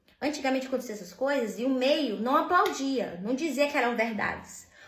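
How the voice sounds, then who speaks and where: A woman speaks at a fairly slow pace with a high pitch. The room echo is audible. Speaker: vlogger. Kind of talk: casual monologue vent.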